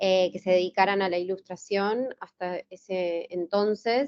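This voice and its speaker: A woman with an Argentine accent, medium pitch and a fairly slow pace. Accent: Rioplatense Argentine Spanish. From Argentina, Buenos Aires. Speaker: illustrator. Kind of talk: interview. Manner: hesitant, many fillers.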